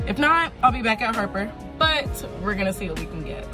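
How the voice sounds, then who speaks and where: A woman speaks over clear background music. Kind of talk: casual vlog chat. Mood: happy, excited after shift. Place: car.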